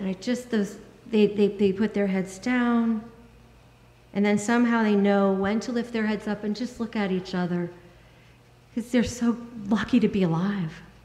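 Audible room echo surrounds a woman talking at a moderate pace. Her intonation is fairly even, and she leaves long, frequent pauses. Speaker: minister. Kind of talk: sermon. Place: church. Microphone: podium.

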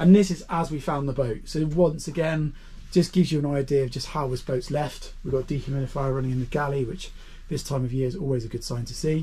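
This man talks at a very fast pace, his intonation fairly even. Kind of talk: walkthrough commentary. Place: boat. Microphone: phone near.

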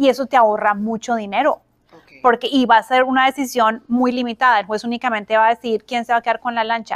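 Against a quiet background, a woman with a fairly high pitch races along at a very fast pace in a monotone, flat delivery with big swings in loudness. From Colombia. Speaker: family mediator, former judge; interview guest. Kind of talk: interview. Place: office.

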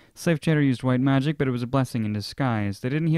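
The clip features a natural reading voice.

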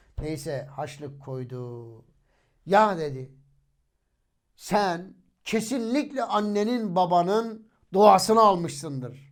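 A man speaks at a very slow pace in a high voice, with long, frequent pauses, big swings in loudness and very wide pitch swings. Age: 40s. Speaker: religious YouTuber, hafiz. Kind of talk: religious storytelling monologue.

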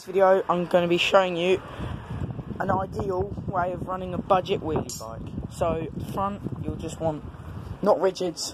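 A man with a high pitch talks at a moderate pace against noticeable background noise. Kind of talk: casual bike check talk. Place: street. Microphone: phone near.

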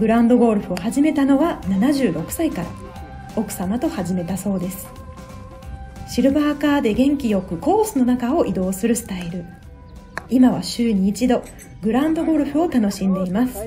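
A woman's fairly high, lively voice at a moderate pace, with music in the background. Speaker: narrator. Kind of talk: local TV feature narration.

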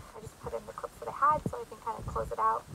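A woman speaks in a dry recording with no echo, though background noise is noticeable. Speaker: vlogger. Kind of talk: casual vlog chat. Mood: apologetic, warm. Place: home room. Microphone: phone near.

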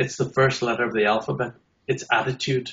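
A man speaks in a somewhat breathy voice with fairly even intonation. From Northern Ireland. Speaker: accessibility consultant. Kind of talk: interview answer. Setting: video call. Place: home room. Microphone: video call.

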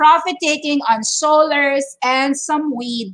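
Against a quiet background, a woman with a high pitch speaks at a very slow pace. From Philippines. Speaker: stock trading educator. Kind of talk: market update livestream. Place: home room. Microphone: webcam.

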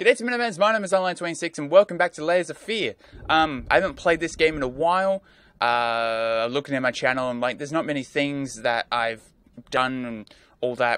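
A man at a fairly quick pace, with a dry sound and no echo. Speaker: gaming video creator. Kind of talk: casual gameplay commentary. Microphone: headset.

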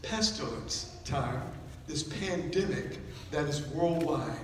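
A man speaks at a very slow pace with ordinary pitch variation, with audible room echo and light background noise. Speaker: preacher. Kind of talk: sermon. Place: church.

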